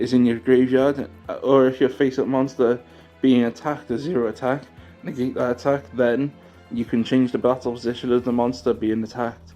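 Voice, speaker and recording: A man at a fairly quick pace with fairly even intonation, music in the background. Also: medium pitch for a man. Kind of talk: casual card game news commentary. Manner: casual, chatty.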